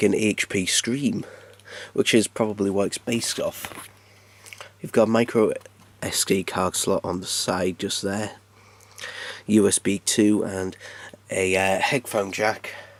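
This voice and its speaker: A man with a British accent, fairly low in pitch, at a fairly slow pace with long, frequent pauses, in a dry, close sound with no echo. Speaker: tech youtuber. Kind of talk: unboxing tutorial. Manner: casual, conversational.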